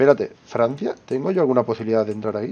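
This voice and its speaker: A man with a Spanish accent speaks with ordinary pitch variation. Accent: Peninsular Spanish. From Spain. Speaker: gaming youtuber. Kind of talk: let's play commentary. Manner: casual, thinking aloud. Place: home room. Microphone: headset.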